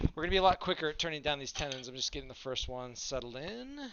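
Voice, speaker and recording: Very fast-talking man with an American accent, ordinary pitch variation and noticeable background noise. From US, Utah (Salt Lake area). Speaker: woodturner streamer. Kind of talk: live stream tutorial chat. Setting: garage workshop. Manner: casual, halting with fillers. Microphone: too quiet.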